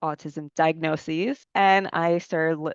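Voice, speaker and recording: A woman's unremarkable speaking voice, fairly low in pitch and fairly even in intonation, at a fairly slow pace, with a dry, close sound, no echo and a quiet background. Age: 30s. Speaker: recruiting coordinator sharing lived experience. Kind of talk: podcast interview.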